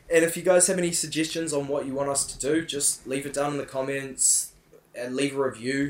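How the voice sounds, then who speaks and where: Speaking in a New Zealand accent, a man goes at a fairly quick pace with a fairly high pitch and fairly even intonation. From New Zealand, Whangarei. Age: 20s. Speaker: podcast co-host. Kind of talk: casual chat. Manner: halting.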